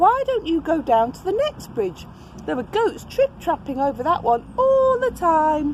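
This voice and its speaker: A woman puts on a character voice with extremely high pitch and very wide pitch swings, over clear background noise. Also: moderate pace. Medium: read story.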